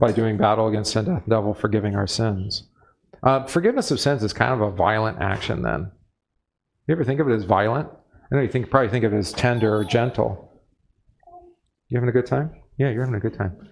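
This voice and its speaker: Vocal fry runs through speech that goes very fast but stops for long, frequent pauses. Pitch varies in an ordinary way on a very clean recording with a silent background. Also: man, medium pitch for a man. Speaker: pastor leading Bible study. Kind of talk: Bible study lecture.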